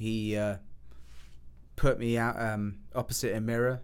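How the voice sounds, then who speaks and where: Speaking in an English accent, a man uses a fairly low pitch, ordinary pitch variation and a fairly slow pace. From England. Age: 30s. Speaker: film student. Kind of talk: casual chat.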